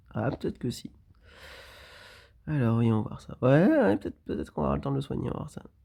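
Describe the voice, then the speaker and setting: A man talks at a fairly quick pace. His delivery has long, frequent pauses. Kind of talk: gameplay commentary. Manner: casual, hesitant.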